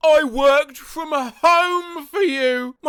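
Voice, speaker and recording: Someone performs a put-on character voice at a high pitch. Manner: wailing, anguished.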